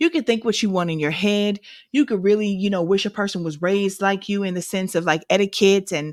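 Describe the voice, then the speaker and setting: On a very clean recording with a silent background, a woman with an American accent speaks at medium pitch, the sound dry and close with no echo. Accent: St. Louis accent, comes out when angry. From St. Louis, Missouri, US. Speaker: podcast co-host. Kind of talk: casual chat.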